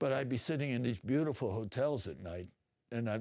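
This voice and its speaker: At a fairly quick pace, a man with an American accent talks in a dark, mellow tone with ordinary pitch variation. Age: 80s+. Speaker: Vietnam war veteran and artist. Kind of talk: interview. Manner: rambling, hesitant with fillers.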